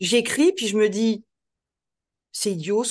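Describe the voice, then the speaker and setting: At a moderate pace, a woman with a normal speaking voice talks with ordinary pitch variation. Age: 50s. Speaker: trainer and author on adult education. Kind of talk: interview.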